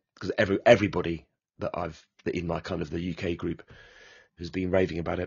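In a British accent, a man talks fairly quickly with a very deep, low pitch. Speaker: board game podcast co-host. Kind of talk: casual chat.

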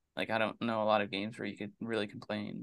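Over a quiet background, a man talks at a very fast pace in a bright, sharp tone. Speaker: sports podcast co-host. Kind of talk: casual sports chat.

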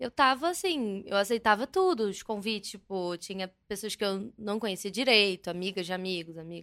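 A bright, sharp tone at a moderate pace, with ordinary pitch variation, hardly any pauses, and a very clean recording with a silent background. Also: woman, medium pitch for a woman. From Rio de Janeiro, Brazil. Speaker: social media influencer. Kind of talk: casual chat.

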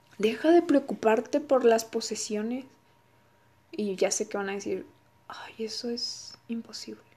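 Over noticeable background noise, a woman with a fairly high pitch speaks at a fairly slow pace with ordinary pitch variation, big swings in loudness, and long, frequent pauses. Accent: Mexican. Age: 20s. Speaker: podcaster and graduate student. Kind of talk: solo podcast talk.

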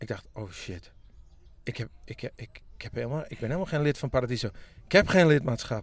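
A man with a Friesland accent and lively intonation at a fairly quick pace, on a very clean recording with a silent background. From Friesland (Makkum). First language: Frisian (speaking Dutch). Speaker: musician. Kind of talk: casual chat. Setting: in a parked tour bus by a pond in a forest.

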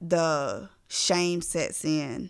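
A woman speaks at a fairly low pitch with fairly even intonation. The recording is very clean, with a silent background. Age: 30s. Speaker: mental health therapist. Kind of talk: casual chat.

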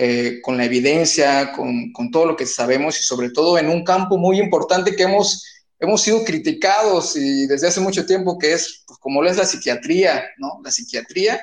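A man's high-pitched voice at a moderate pace, with lively intonation, big swings in loudness and hardly any pauses. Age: younger than the guest. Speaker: podcast host, physician. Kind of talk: interview conversation. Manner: hesitant with fillers.

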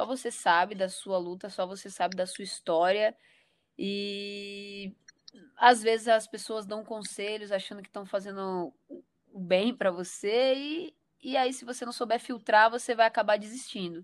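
A woman with an unremarkable speaking voice talks at a fairly slow pace, her pitch medium with ordinary variation and her loudness swinging widely. The recording is very clean against a silent background. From Porto Velho, Rondônia, northern Brazil. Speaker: director of photography. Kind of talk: casual interview.

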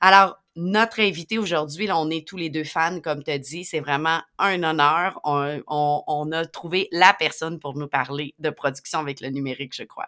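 A woman with a Quebec accent speaks at a fairly slow pace with hardly any pauses, her very deep, low pitch, bright, sharp tone, ordinary pitch variation and big swings in loudness all clear. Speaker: educational technology podcast co-host. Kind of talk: educational podcast talk.

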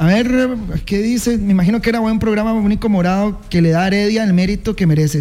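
A man with a Costa Rican accent talks at a fairly quick pace in a high voice with ordinary pitch variation. There is audible room echo and noticeable background noise. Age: 30s. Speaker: sports radio host. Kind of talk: casual radio talk show. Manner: animated.

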